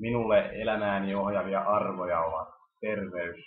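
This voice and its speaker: A man talks at a fairly slow pace. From Finland, Helsinki. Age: 20s. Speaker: university student. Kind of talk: self-introduction video.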